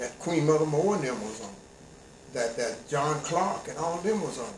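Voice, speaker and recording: Amid audible room echo and noticeable background noise, a man speaks at a moderate pace with very wide pitch swings. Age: 80s+. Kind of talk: interview.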